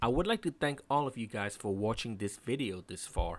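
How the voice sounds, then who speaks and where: This man speaks with a non-native accent on a very clean recording with a silent background. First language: not English. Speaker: furniture maker. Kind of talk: tutorial. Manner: careful, scripted narration with some hesitations.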